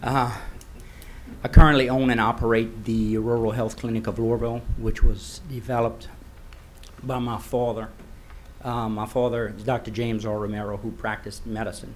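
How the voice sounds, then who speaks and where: A man speaks in a flat monotone, his loudness swinging widely from loud to soft. Long pauses come often, and the room echo is audible. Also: medium pitch for a man, moderate pace. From Louisiana, Iberia Parish. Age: 40s. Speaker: rural clinic owner. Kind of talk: public comment at council meeting. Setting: parish council meeting.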